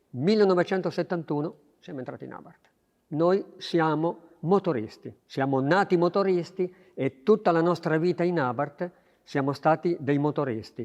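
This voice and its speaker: Loudness swings a lot while the speech keeps a moderate pace and ordinary pitch variation. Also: man, high pitch for a man. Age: 70s. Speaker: racing engine mechanic. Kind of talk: interview.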